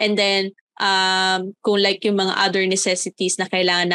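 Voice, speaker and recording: A woman's bright, sharp tone at medium pitch and a moderate pace. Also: quiet background. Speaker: podcast co-host. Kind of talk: casual chat.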